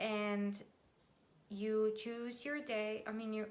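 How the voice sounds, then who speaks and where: A woman's fairly high, bright, sharp voice with a non-native accent. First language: not English. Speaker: business and marketing YouTuber; online business tutor. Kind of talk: tutorial. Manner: casual, with fillers. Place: home room. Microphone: webcam.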